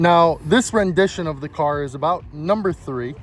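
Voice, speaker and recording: A man speaks with an American accent at a moderate pace. His pitch varies in an ordinary way, and there is noticeable background noise. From US Midwest, Chicago area. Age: 20s. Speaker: car enthusiast YouTuber. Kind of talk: casual vlog intro.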